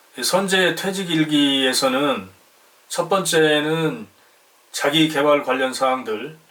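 Over noticeable background noise, the speaker talks at a very slow pace with ordinary pitch variation. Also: man. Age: 50s. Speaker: retiree YouTuber. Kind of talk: channel announcement. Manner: formal.

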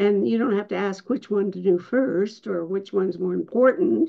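A woman's medium-pitched voice with vocal fry, lively intonation and a fairly slow pace, against a quiet background. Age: 80s+. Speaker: peace activist, former sociology professor. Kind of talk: interview answer. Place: home room. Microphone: video call.

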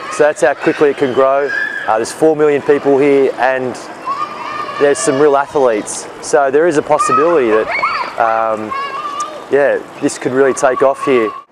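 A man at a moderate pace with long, frequent pauses, a dry sound without echo and crowd noise behind him. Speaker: presenter. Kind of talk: casual vlog chat. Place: street. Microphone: phone near.

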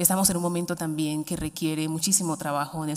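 A woman speaks at a very deep, low pitch. Her pace is fairly quick and her intonation fairly even. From Colombia, Chocó (Pacific coast). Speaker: government official (vice-minister of education). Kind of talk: formal ceremonial speech. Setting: university ceremony with audience. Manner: formal. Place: hall. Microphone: podium.

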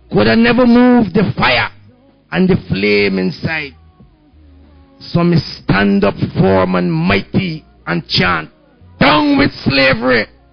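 With faint music in the background, a man at medium pitch speaks very slowly, his pitch swinging very widely, and pauses long and often. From Guyana. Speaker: spoken word poet. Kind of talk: spoken word poetry performance. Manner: fiery. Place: cafe. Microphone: handheld.

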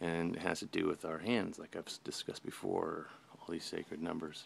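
A man is speaking. His pace is moderate. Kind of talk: tutorial. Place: home room. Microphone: phone near.

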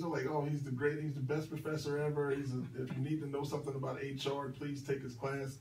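A man with an American accent talking very fast with hardly any pauses, audible room echo and light background noise behind him. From Philadelphia. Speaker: radio host and recruiter. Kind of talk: radio talk show. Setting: radio studio. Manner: animated. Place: studio. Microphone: camera far.

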